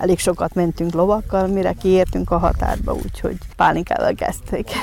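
A woman talks at a moderate pace. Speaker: contestant. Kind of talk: interview. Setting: outdoors at festival.

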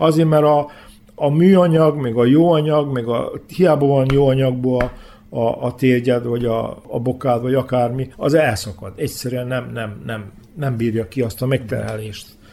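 The voice varies in pitch in an ordinary way. Its pace is fairly slow. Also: man, medium pitch for a man. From Vojvodina, Serbia (Hungarian minority, Bezdan area). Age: 60s. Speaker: former handball player. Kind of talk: interview. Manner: halting, with repetitions.

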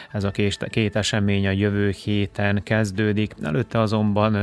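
A man talks at a moderate pace in a fairly low pitch. His intonation is monotone and flat. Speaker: radio sports host. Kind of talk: news reading. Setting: studio.

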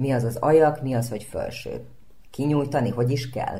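Fairly slow, somewhat breathy speech in a dark, mellow tone with lively intonation and audible room echo. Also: woman. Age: young. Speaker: speech therapist and actress. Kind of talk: radio interview.

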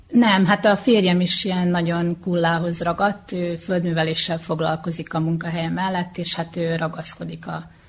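Her fairly low-pitched voice comes at a moderate pace, somewhat breathy, with monotone, flat intonation. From Vojvodina, Serbia (Kula). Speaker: folk dance teacher and local politician. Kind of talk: radio interview. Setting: community hall.

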